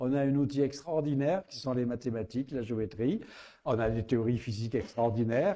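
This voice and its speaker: In a Provençal accent, a man with a dark, mellow tone and medium pitch talks at a fairly quick pace. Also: ordinary pitch variation. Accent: southern French (Provençal). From Provence, southern France. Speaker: astrophysicist and writer. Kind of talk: public interview. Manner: hesitant, with many fillers.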